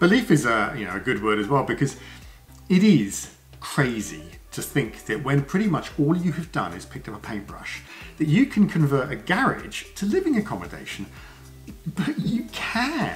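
Faint background music under speech at a moderate pace. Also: man. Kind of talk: casual vlog chat. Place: home room. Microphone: camera far.

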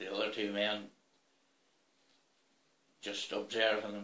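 A man's fairly low voice in a Northern Irish accent, at a fairly slow pace with monotone, flat intonation and audible room echo. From Northern Ireland, Fermanagh. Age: 70s. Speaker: retired farmer, school bus driver, former soldier. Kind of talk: personal memoir interview. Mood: calm, measured storytelling. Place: home room.

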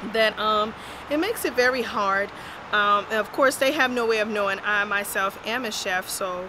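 A woman talks fairly slowly while noticeable background noise carries on around her. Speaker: food reviewer. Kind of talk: casual vlog review. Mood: mildly critical, calm. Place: street. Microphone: phone near.

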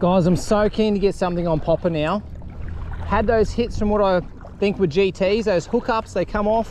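Recorded dry with no echo over light background noise, a man with a high pitch speaks at a moderate pace, leaving long, frequent pauses. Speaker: angler vlogger. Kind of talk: casual vlog chat, fishing commentary. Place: waterside. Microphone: phone near.

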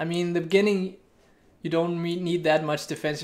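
A man speaks with a Danish accent at a fairly high pitch. His intonation is flat and monotone. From Denmark. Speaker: gaming streamer. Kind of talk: live gameplay commentary. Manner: casual, thinking aloud. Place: home room. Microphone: studio mic.

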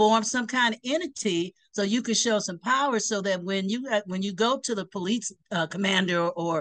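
Against a quiet background, a woman speaks at a moderate pace with ordinary pitch variation. She leaves hardly any pauses. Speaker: remote interview guest. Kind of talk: interview answer. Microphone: video call.

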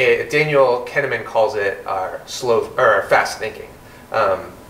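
A man is speaking amid light background noise. The room echo is audible. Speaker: interview guest. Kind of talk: interview answer. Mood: calm, reflective. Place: home room.

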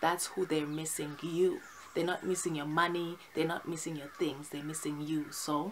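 A woman talks at a moderate pace with a fairly low pitch. Her intonation is monotone and flat, with light background noise. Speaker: vlogger. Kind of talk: casual vlog chat. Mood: earnest, opinionated. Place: home room. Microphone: phone near.

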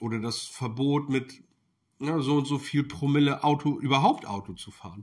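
Against a quiet background, a man speaks at a moderate pace with a somewhat breathy voice. His pitch is fairly high, with ordinary pitch variation. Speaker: political commentary YouTuber. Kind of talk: video commentary monologue. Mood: critical, indignant. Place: kitchen.

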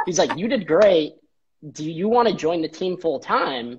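With an American accent, a man speaks at a moderate pace with lively intonation. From Chicago suburbs, US Midwest; Illinois. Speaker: treatment center business strategist; interview guest. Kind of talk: casual interview. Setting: office, live video stream. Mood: cheerful, animated storytelling. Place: home room. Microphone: video call.

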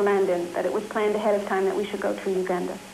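Over noticeable background noise, a man speaks very fast. His intonation is monotone and flat. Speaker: freed hostage. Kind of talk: eyewitness testimony. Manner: halting, frequent uh fillers.

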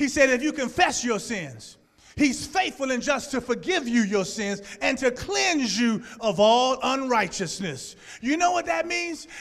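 A man speaks with a Louisiana accent in an extremely high pitch, his intonation lively and his tone animated. He talks at a fairly slow pace against a quiet background. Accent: Louisiana Southern US. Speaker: pastor. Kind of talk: sermon. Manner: animated, call-and-response preaching. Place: church. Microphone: handheld.

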